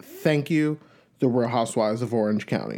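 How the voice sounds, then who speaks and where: A dark, mellow tone at a moderate pace. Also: man. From New York. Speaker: podcast host. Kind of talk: casual solo podcast chat. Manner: chatty, upbeat.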